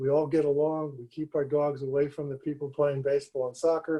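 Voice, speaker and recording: A man with a fairly high pitch speaks at a moderate pace in a dark, mellow tone. His voice is somewhat breathy and his intonation is flat and monotone. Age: 70s. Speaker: public commenter at city commission meeting. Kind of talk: public comment.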